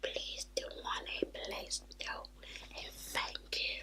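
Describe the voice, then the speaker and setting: A woman's whisper over noticeable background noise. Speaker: ASMR and beauty YouTuber. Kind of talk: casual talk to camera, reading viewer comments. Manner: soft-spoken, whispery.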